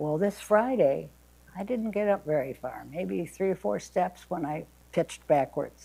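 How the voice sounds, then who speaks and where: A woman with an American accent, a dark, mellow tone, and a moderate pace. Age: 80s+. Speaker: retired substitute teacher. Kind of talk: family memoir storytelling. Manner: conversational.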